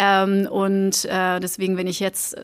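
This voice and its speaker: A woman at a medium pitch in a very clean recording with a silent background. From Belgium, village near Antwerp. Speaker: marketing executive. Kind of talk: casual interview. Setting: office.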